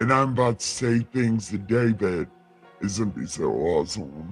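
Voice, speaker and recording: Over faint music in the background, a man puts on a character voice at a fairly low pitch. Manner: silly, gushing, affectionate.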